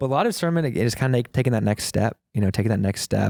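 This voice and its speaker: In a dry, close recording with no echo, a man with an American accent talks at a very fast pace in a dark, mellow tone. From US South, Texas (Houston). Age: 20s. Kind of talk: interview. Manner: casual, conversational.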